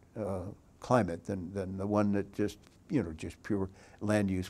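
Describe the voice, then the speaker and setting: At a moderate pace, the man's tone comes across as dark and mellow. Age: 80s+. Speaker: former mayor and regional planning official. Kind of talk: oral history interview. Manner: halting, many fillers and restarts.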